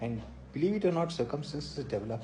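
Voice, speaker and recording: A man speaks fairly quickly with lively intonation. His tone is dark and mellow, and somewhat breathy. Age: 60s. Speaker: motivational speaker. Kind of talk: live-stream monologue.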